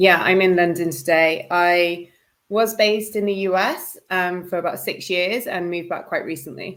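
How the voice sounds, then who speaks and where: Fairly even intonation from a woman at a moderate pace, her pitch medium. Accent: British. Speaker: media and events managing director. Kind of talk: interview chat. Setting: live online stream.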